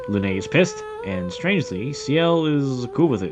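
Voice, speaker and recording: A man's moderate pace carries over music in the background. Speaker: gaming youtuber. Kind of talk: scripted narration.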